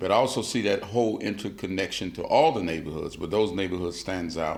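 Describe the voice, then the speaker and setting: A man with an American accent talks very fast at a fairly low pitch, with audible room echo around him. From US South, Georgia Sea Islands. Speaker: artist and muralist. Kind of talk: interview.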